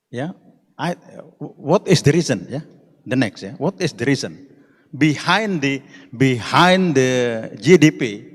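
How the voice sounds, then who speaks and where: A man's fairly high voice with lively intonation, big swings in loudness, a fairly slow pace and long, frequent pauses. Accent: Indonesian. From Indonesia. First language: Indonesian. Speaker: conference speaker. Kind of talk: conference presentation. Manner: halting.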